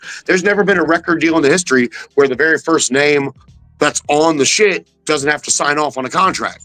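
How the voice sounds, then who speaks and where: Music plays in the background as a man with a fairly high pitch speaks at a fairly quick pace in dry, close sound with no echo. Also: ordinary pitch variation. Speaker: hip-hop artist and guest. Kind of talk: casual interview chat. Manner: purposeful, hustling delivery; animated.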